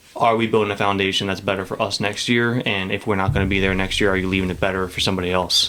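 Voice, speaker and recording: Over noticeable background noise, a man mumbles at a very fast pace with a fairly low pitch, monotone, flat intonation and hardly any pauses. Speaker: high school baseball coach and teacher. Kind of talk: casual podcast interview. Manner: mumbles a lot; casual, filler-heavy speech.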